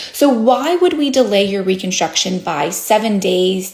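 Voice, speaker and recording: With noticeable background noise behind her, a woman speaks at medium pitch with lively intonation. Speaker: plastic surgeon. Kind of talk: educational explainer.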